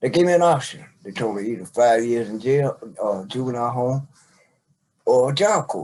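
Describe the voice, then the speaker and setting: Lively intonation runs through this man's medium-pitched voice as he speaks at a moderate pace. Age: 60s. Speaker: father telling his life story. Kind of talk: interview, life story. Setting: podcast recording, seated conversation.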